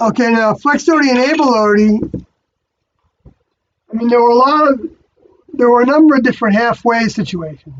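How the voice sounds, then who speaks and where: Moderate pace broken by long, frequent pauses. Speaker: live streamer answering viewer questions. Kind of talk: live stream Q&A. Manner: halting.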